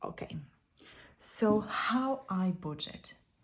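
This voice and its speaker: This woman has a non-native accent. Her voice is somewhat breathy. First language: not English. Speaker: YouTuber sharing budgeting tips. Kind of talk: casual tutorial.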